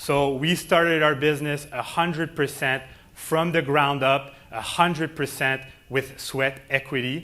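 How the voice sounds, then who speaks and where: A man speaks fairly slowly in a Quebec accent. His tone is bright and sharp, and his intonation is flat and monotone. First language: French. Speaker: company president. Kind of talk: keynote speech.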